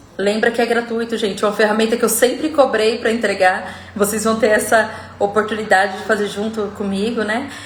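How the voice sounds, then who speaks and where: In a room with audible echo and noticeable background noise, a woman talks fairly quickly in a fairly high, monotone, flat voice. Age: 40s. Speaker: self-development coach. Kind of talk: live stream talk. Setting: live stream video call.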